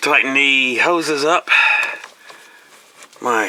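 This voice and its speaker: Amid noticeable background noise and audible room echo, a man talks at a very slow pace with fairly even intonation. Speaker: DIY mechanic. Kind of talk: tutorial. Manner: halting.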